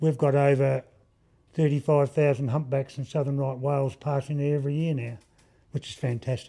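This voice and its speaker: A man speaks with an Australian accent in a dark, mellow tone. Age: 70s. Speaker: woodworker and gallery owner. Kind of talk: interview. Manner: halting.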